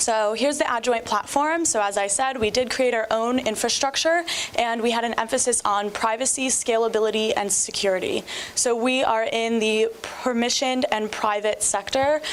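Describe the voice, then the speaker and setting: A woman's fairly high voice at very even loudness, with noticeable background noise. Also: ordinary pitch variation, moderate pace. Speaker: startup business development representative. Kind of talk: startup pitch presentation.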